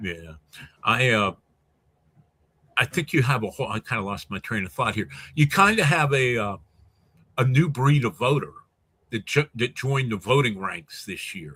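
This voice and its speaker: A man's bright, sharp tone with very wide pitch swings and long, frequent pauses, in a very clean recording with a silent background. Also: medium pitch for a man, moderate pace. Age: 60s. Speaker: sportswriter. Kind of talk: casual debate.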